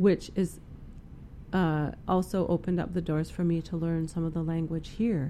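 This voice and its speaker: The voice carries a dark, mellow tone and a Western Canadian accent. Its intonation is monotone and flat, at a moderate pace. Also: woman, fairly low pitch for a woman. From Prince George, British Columbia, Canada. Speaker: First Nations musician and artist. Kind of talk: casual interview.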